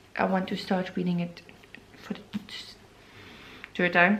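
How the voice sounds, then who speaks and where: A woman speaks at a medium pitch with a Flemish accent. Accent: non-native English, Flemish. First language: Flemish (Dutch). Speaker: book vlogger. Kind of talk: casual vlog chat. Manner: halting, many fillers.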